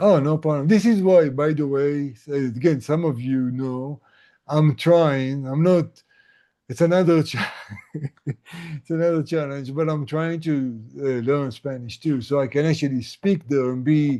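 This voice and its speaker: Speaking at a fairly slow pace, a man has a fairly high pitch and an Israeli accent. His tone is dark and mellow. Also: ordinary pitch variation. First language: Hebrew. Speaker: tinnitus coach. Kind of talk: casual chat. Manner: halting.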